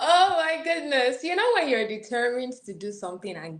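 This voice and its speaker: With lively intonation, a woman talks in an American accent. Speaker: international student. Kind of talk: interview.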